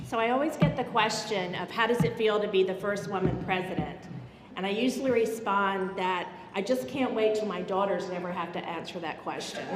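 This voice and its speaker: Speaking at a fairly quick pace, a woman has a medium pitch with ordinary variation. Noticeable background noise and audible room echo surround her. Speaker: university president, award recipient. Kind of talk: award acceptance speech.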